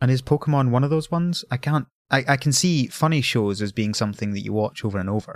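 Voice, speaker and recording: In a Scottish accent, a man talks very fast at a medium pitch with lively intonation. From Scotland. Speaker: podcaster. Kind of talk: casual chat. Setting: remote call.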